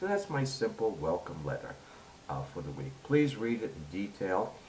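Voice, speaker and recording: A man with an American accent speaks with very wide pitch swings. Audible room echo surrounds his voice. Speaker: university instructor. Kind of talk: tutorial.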